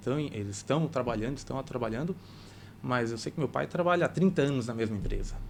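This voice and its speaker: His pace is fairly quick. This man's pitch sits in the medium range. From Brazil, Santa Catarina. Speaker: cooperative bank regional manager. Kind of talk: podcast interview.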